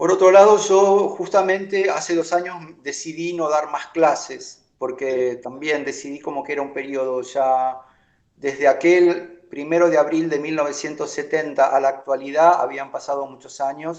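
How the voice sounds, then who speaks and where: A man talks at a moderate pace in an ordinary speaking voice, fairly high-pitched for a man, with ordinary pitch variation. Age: 60s. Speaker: choreographer. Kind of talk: interview.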